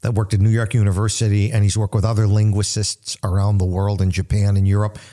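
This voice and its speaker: A man with an American accent and a fairly low pitch speaks in a monotone, flat way with a dark, mellow tone, recorded very cleanly against a silent background. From US Northeast, grew up in a Little Italy neighbourhood. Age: 60s. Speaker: pastor and radio host. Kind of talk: radio Bible teaching.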